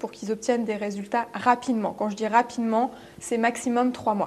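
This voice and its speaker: A woman speaks at a high pitch with fairly even intonation. Noticeable background noise is present. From France. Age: 30s. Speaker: business coach. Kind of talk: interview. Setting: studio.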